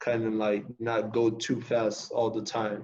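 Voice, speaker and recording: A man with a Spanish accent speaks fairly slowly at a medium pitch in a monotone, flat intonation. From Costa Rica (Heredia). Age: young. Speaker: college basketball player. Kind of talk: interview.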